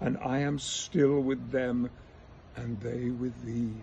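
With a dark, mellow tone, a man speaks in a somewhat breathy voice over light background noise. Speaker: actor. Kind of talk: poetry reading. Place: garden.

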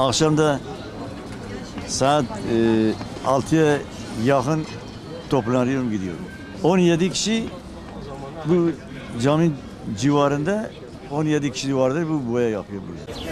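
Over background music, a man with a fairly high pitch and lively intonation talks at a very slow pace, leaving long, frequent pauses. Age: 70s. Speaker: shoe shiner. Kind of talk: interview answer.

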